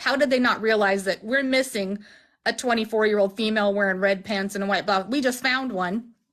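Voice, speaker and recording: A woman speaks in an animated tone at a fairly quick pace, her pitch varying in an ordinary way. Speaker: family member of a missing person. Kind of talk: livestream interview. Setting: livestream video call. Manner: fast.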